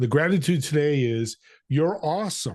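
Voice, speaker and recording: Using an ordinary speaking voice, a man talks at a moderate pace and a fairly high pitch. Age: 60s. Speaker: podcast co-host. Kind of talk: casual interview.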